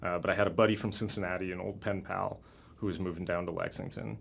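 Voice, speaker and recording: A man's very fast speech at a fairly low pitch, in a Mid-Atlantic American accent. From Washington DC area / Maryland, Brazilian-born. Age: 30s. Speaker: permaculture activist. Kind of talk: oral history interview. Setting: recording studio.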